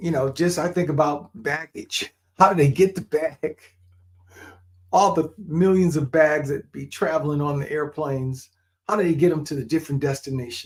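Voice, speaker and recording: Pitched fairly high, a man talks in an ordinary speaking voice with ordinary pitch variation. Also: moderate pace. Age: 60s. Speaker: podcast host and pilot. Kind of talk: motivational live show talk. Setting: livestream.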